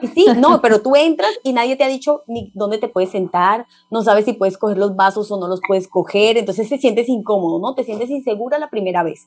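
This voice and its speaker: An ordinary speaking voice: a woman at a fairly high pitch with ordinary pitch variation, a fairly quick pace and hardly any pauses. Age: 30s. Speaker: parenting specialist. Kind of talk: interview. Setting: video call.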